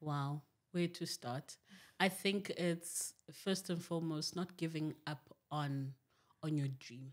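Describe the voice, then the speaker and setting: A woman speaks at a very slow pace against a quiet background. Her pitch is very deep and low, with fairly even intonation. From Zimbabwe. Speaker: television producer; podcast guest. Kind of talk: podcast interview. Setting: studio. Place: studio. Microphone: studio mic.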